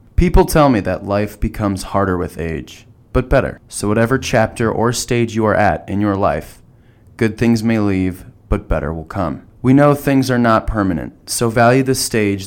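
In a very clean recording with a silent background, a man uses an ordinary speaking voice with a fairly low pitch and lively intonation. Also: moderate pace. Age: 20s. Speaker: podcast host, college student. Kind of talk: scripted narration.

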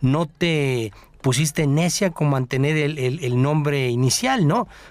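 A man talks at a fairly slow pace with a fairly high pitch for a man. The recording is very clean, with a silent background. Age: 50s. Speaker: radio co-host. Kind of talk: radio chat. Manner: halting, many repeated words.

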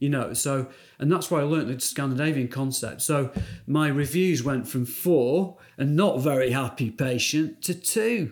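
Recorded very cleanly over a silent background, a man with a British accent talks at a moderate pace and a fairly high pitch. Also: ordinary pitch variation. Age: 50s. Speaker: dentist, prosthodontics specialist. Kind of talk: interview, clinical discussion.

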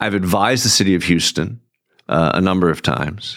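A man speaks. His voice is very deep and low-pitched. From New England. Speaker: urban planner and author. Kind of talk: interview. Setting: studio.

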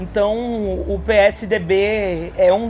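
A woman speaks over noticeable background noise. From Caruaru, Pernambuco, Brazil. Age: young. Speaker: state legislator. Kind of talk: interview. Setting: agrarian reform fair.

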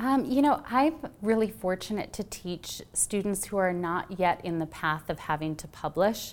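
Lively intonation at a moderate pace from a plain, everyday voice in an American accent. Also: woman, medium pitch for a woman. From US Midwest. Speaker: novelist. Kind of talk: author talk at library event. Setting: public library with audience.

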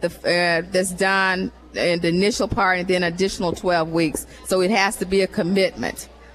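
Music plays in the background as a woman speaks at a moderate pace and medium pitch. Her loudness is very even and her intonation fairly even. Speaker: nonprofit director. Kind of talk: interview. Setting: live event with audience.

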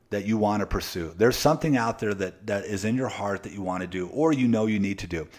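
On a very clean recording with a silent background, a man speaks with a fairly low pitch. His pace is fairly quick, with ordinary pitch variation. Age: 40s. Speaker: podcast host, motivational speaker. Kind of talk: motivational monologue. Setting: home office. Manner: animated, repetitive with frequent restarts.

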